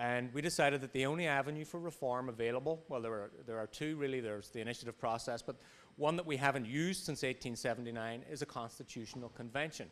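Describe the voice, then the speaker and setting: This man talks very fast with an Irish accent, at a medium pitch and with ordinary pitch variation. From Ireland. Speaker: business policy advocate. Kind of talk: panel presentation. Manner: hesitant, repeats words.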